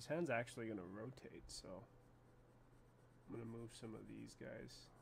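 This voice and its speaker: Over audible room echo, a man is mumbling. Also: moderate pace. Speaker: animator. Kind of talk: tutorial. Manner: casual.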